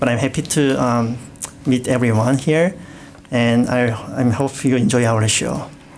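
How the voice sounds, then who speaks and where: With a Korean accent, the speaker talks at a fairly slow pace with lively intonation. The loudness stays very even. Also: man. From South Korea. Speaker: co-host. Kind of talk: radio show chat.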